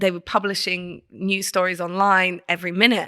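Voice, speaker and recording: A woman with a British accent speaks at a moderate pace in a medium pitch, her tone bright and sharp. Her intonation is monotone and flat, and the recording is very clean with a silent background. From England. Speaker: creative director. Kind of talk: casual chat.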